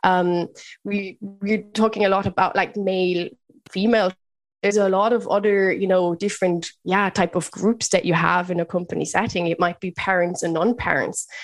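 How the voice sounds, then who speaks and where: Spoken at a moderate pace with a German accent, the voice stays monotone with flat intonation. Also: woman, medium pitch for a woman. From Germany, Bavaria. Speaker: leadership mentor and business founder. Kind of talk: podcast interview.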